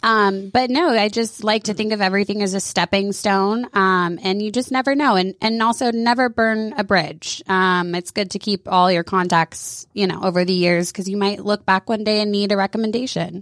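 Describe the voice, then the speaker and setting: At a moderate pace and with hardly any pauses, a woman with an American accent and an ordinary speaking voice talks at a medium pitch with ordinary pitch variation. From Georgia, US South (Woodstock). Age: 30s. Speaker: hair salon owner. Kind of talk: radio interview. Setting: studio.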